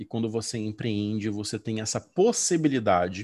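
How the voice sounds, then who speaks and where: A man speaks at a moderate pace and medium pitch. He has a plain, everyday voice. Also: quiet background. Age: 40s. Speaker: educational consultant and former English teacher. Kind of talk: interview.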